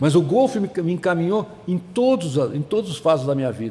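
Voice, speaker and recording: Over noticeable background noise, a man speaks at a moderate pace in a high pitch with lively intonation. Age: 70s. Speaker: veteran golf club member, former systems analyst and financier. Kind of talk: podcast interview. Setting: studio in a golf club restaurant.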